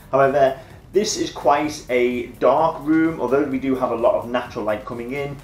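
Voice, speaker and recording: A man's voice comes through with audible room echo. Light background noise is present. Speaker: tech reviewer. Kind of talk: casual vlog chat. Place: home room. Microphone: phone near.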